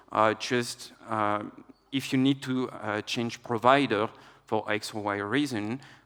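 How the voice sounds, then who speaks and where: A man with a French accent and a monotone, flat delivery. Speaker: tech executive, conference speaker. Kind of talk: conference talk. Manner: hesitant, many filler uhs.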